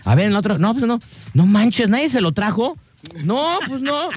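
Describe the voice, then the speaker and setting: Amid noticeable background noise, a man speaks fairly quickly in an animated tone with very wide pitch swings. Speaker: radio show co-host. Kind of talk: casual chat.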